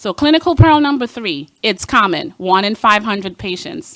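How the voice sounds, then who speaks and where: Here a woman speaks with a medium pitch. Her intonation is lively. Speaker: cardiologist. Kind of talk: lecture. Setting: stage with audience. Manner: fast.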